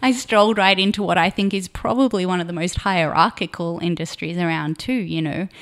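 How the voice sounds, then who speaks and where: A woman talks fairly quickly with an Australian accent. Her voice sits at medium pitch with ordinary pitch variation. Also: hardly any pauses. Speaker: production designer. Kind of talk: casual interview.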